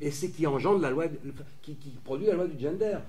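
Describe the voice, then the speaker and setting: A man with a fairly high pitch uses lively intonation. Noticeable background noise and audible room echo surround him. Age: 60s. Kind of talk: lecture. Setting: conference with audience. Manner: halting, many repetitions.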